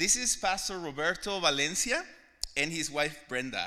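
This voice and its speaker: At a moderate pace, a man with a Mexican accent speaks in a bright, sharp tone. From Mexico. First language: Spanish. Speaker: visiting pastor. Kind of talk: sermon-style testimony. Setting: church.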